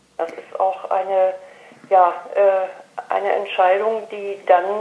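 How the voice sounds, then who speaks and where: A woman talks very slowly while noticeable background noise fills the recording. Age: 50s. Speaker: café owner. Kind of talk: interview. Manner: hesitant, many filler sounds.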